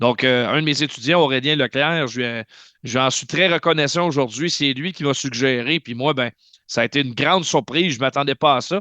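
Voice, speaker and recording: Loud and bright, with a sharp tone, a man speaks at a fairly high pitch. The sound is dry and close with no echo, over a quiet background. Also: ordinary pitch variation. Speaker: hockey play-by-play announcer. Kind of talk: interview, casual chat. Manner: fast.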